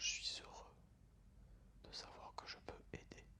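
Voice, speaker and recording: Whispering, a man speaks in a calm tone. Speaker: ASMR creator. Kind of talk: ASMR relaxation and guided breathing. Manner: soft-spoken, calm.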